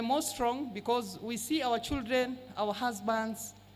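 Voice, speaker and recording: Heard with audible room echo, a woman speaks at a fairly slow pace. Her fairly high voice keeps a fairly even intonation. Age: 60s. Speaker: blood donor advocate. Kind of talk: short speech to an audience. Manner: halting.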